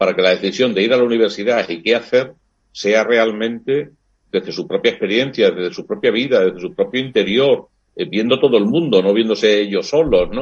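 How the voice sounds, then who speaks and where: A man speaks fairly quickly at a medium pitch, which varies in an ordinary way. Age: 60s. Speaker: priest and university lecturer. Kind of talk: interview. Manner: hesitant fillers, reflective.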